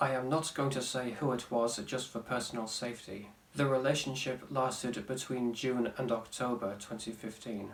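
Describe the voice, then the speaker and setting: Deadpan in tone, a man of medium pitch talks at a moderate pace with hardly any pauses. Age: 20s. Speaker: vlogger. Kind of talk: casual talk to camera.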